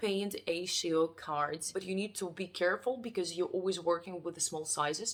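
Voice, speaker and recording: The speaker talks at a moderate pace with a non-native accent. There are hardly any pauses, and the pitch varies in an ordinary way. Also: woman, fairly low pitch for a woman. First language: not English. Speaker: artist. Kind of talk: casual vlog. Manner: halting.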